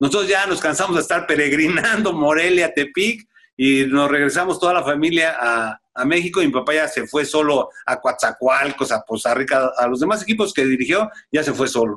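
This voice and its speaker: With a bright, sharp tone, a man talks at a moderate pace in a fairly high pitch, using lively intonation and very even loudness. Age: 50s. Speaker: retired footballer. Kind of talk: interview.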